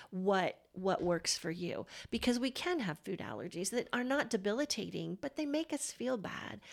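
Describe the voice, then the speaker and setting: With vocal fry and very wide pitch swings, a woman talks at a medium pitch and moderate pace with hardly any pauses. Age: 50s. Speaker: podcast host. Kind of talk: casual interview chat.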